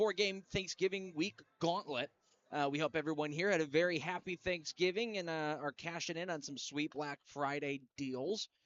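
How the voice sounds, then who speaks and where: A man speaks in a plain, everyday voice with a fairly high pitch. His pace is moderate. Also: ordinary pitch variation. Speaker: hockey play-by-play broadcaster. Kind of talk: pregame show radio intro.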